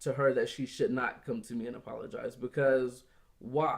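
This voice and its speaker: This man has an ordinary speaking voice, fairly high in pitch, with an American accent. He talks at a fairly slow pace. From Florida small town. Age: young. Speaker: office worker. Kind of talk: casual chat.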